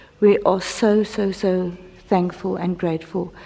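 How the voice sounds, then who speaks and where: In an Afrikaans South African accent, a woman speaks at a very slow pace with monotone, flat intonation. Room echo is audible. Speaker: church member and vlogger. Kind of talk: casual video update. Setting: church building under construction. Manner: halting, with fillers and repeats.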